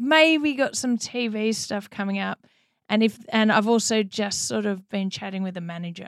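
Speaking with an Australian accent, a woman uses a fairly high pitch and lively intonation at a moderate pace. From Melbourne, Australia. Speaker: DJ and artist, former pro tennis player. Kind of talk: casual interview chat.

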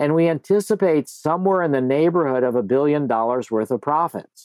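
A man with a normal speaking voice talks at a moderate pace and fairly high pitch, with lively intonation. The sound is dry and close with no echo. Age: 60s. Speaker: psychedelic researcher, nonprofit founder. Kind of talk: interview.

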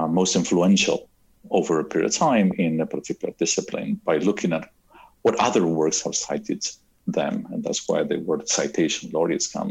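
With an Argentine accent, a man talks at a moderate pace. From Argentina. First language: Spanish. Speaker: cosmologist and university professor. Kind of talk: interview.

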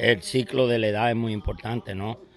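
Medium pitch from a male speaker, the intonation fairly even throughout. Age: 60s. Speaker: boxing trainer. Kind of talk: interview. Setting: boxing gym. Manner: halting.

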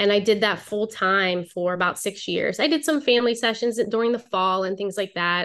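With an American accent, a woman speaks in an ordinary speaking voice at medium pitch, with ordinary pitch variation, a moderate pace and hardly any pauses. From Pittsburgh area, Beaver County, Pennsylvania. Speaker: branding photographer. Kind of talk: podcast interview.

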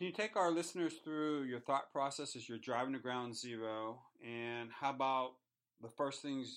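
At a moderate pace, a man in an unremarkable speaking voice talks at medium pitch with ordinary pitch variation. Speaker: podcast host. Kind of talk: podcast interview. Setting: studio.

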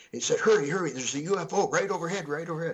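A man talks in a fairly high pitch while noticeable background noise carries through. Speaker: UFO researcher and author. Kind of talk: radio interview.

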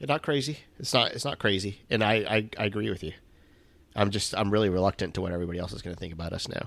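Speaking very fast, a man uses a fairly low pitch. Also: ordinary pitch variation, very clean recording, silent background. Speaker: fantasy football podcast co-host. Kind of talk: casual chat.

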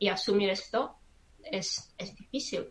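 Her pace is very slow. The woman speaks at a medium pitch with ordinary pitch variation. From Czech Republic. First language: Czech (speaking Spanish). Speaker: psychologist and astrologer. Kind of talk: casual chat. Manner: halting, with hesitations.

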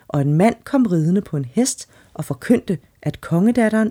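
The delivery is an unforced reading voice. Its intonation is lively.

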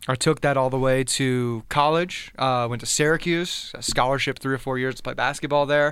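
A man talks at a moderate pace and medium pitch with an American accent, using a plain, everyday voice. His intonation stays fairly even. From South Florida, US. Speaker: former college basketball player. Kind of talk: casual interview. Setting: studio.

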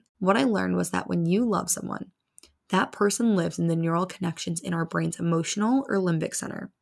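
A woman's normal speaking voice, fairly low in pitch, with ordinary pitch variation at a fairly quick pace. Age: 20s. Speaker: podcast host and breakup advice creator. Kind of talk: solo advice monologue. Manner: casual, chatty.

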